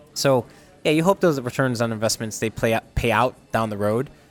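Music plays in the background. A man speaks at a very fast pace with an American accent. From upstate New York (Utica). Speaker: chef and restaurant owner. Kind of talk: casual interview.

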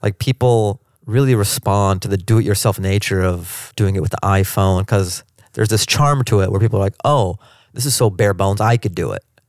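An American man with an ordinary speaking voice talks at a fairly quick pace and fairly low pitch, with ordinary pitch variation, a dry, close sound with no echo, and a very clean recording over a silent background. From US Pacific Northwest (Seattle). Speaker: stand-up comedian. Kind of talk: interview. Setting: in person, Washington DC.

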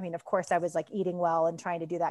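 The setting is a quiet background. A woman's voice sits at a medium pitch. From Kentucky. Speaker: yoga teacher and former school counselor. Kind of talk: casual interview chat.

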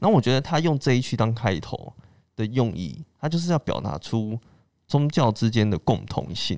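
At a moderate pace, a man with a medium pitch talks in very wide pitch swings. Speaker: podcast host. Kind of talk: casual chat.

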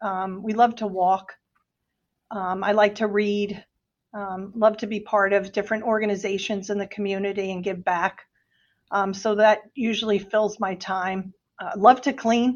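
With a New Jersey accent, a woman at a medium pitch talks at a fairly slow pace in a monotone, flat intonation. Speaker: hospital executive. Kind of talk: casual interview.

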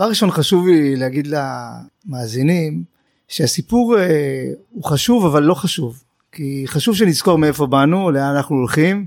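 Using a plain, everyday voice, a man with a fairly high pitch speaks at a moderate pace with lively intonation. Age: 40s. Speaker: investment manager. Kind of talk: interview.

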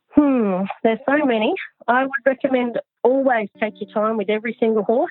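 Talking at a moderate pace, a woman uses a fairly high pitch with ordinary pitch variation. She has an Australian accent. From Australia, Newcastle NSW. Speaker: vaulting coach. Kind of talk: interview.

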